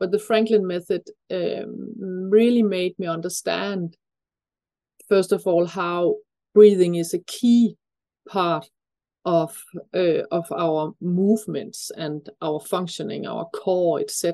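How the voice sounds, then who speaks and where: A woman with a Danish accent, very slow pace and long, frequent pauses, medium pitch with ordinary variation, a dark, mellow tone, and a quiet background. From Denmark. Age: 50s. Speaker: breathing expert. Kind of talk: interview.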